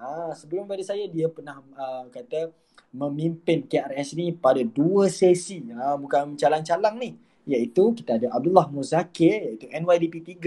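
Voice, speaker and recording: Dark and mellow in tone, a man's fairly high voice moves at a fairly slow pace with ordinary pitch variation. His loudness swings widely. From Malaysia, Gombak, Selangor. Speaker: student club president. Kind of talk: podcast interview.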